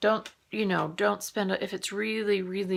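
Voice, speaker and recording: Soft-spoken and calm in tone, a woman is heard in a very clean recording with a silent background. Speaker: morning vlogger. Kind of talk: casual monologue.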